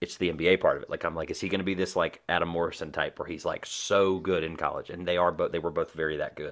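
The man barely pauses at all. His speech runs very fast. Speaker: podcast host. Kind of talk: casual chat.

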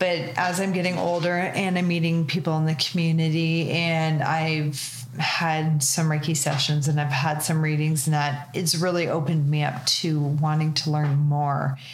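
A woman with a Canadian accent speaks in a very deep, low pitch, her intonation monotone and flat. Her loudness stays very even over noticeable background noise. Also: moderate pace, hardly any pauses. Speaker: podcast host. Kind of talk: casual chat. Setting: on location at guest's space.

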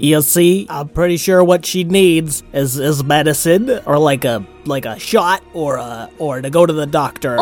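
A put-on character voice at a middle pitch, fairly slow, with faint music in the background. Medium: read story. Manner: earnest, chatty.

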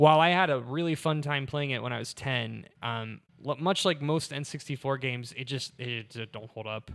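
A plain, everyday voice from a man at a medium pitch runs at a moderate pace with ordinary pitch variation and hardly any pauses, captured on a very clean recording with a silent background. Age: 30s. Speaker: podcast host. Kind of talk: casual banter, video game podcast.

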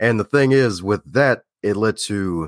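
A man with an American accent and a normal speaking voice talks at a fairly low pitch with ordinary pitch variation, recorded very cleanly with a silent background and a dry, close sound with no echo. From Baltimore, Maryland. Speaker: public speaker and podcast guest. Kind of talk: casual interview chat.

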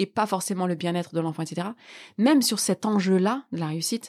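Lively intonation comes through in a dry, close sound with no echo. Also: woman. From northern France, Lille Sud. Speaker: political scientist and author. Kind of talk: interview. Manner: halting.

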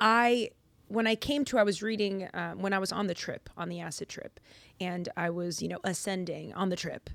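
On a very clean recording with a silent background, a woman with an unremarkable speaking voice speaks at a moderate pace and medium pitch, with ordinary pitch variation. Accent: American. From Lynn, Massachusetts (Boston area), US. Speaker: actor and Bible podcast host. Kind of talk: casual chat.

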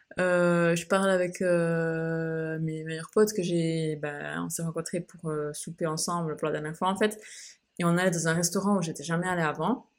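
A woman with a fairly low voice talks at a middling speed, keeping her intonation fairly even. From Switzerland. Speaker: podcaster. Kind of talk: casual monologue. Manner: hesitant, many fillers.

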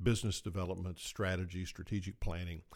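Speaking at a fairly quick pace, a man uses a very deep, low pitch. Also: very clean recording, silent background. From South Georgia. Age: 60s. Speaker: podcast co-host, healthcare executive. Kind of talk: casual interview-style podcast chat.

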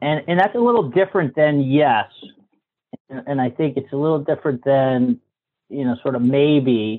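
Using an ordinary speaking voice, a man with an American accent talks at a moderate pace and a fairly high pitch with lively intonation. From Massachusetts, US. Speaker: co-working space owner. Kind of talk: interview.

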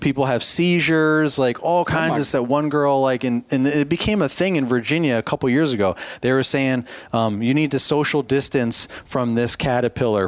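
With ordinary pitch variation, an ordinary speaking voice goes along at a fairly quick pace. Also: man. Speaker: podcast host. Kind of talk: casual chat. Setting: in person at expo.

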